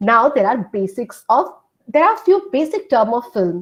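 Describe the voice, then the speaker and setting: A woman's high voice in a Bengali accent, with very wide pitch swings. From north India (Hindi-speaking region). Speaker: film studies lecturer. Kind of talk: lecture. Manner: halting.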